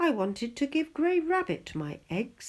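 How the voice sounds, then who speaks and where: A female-sounding put-on character voice sits high in pitch for a woman. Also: moderate pace. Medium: read story.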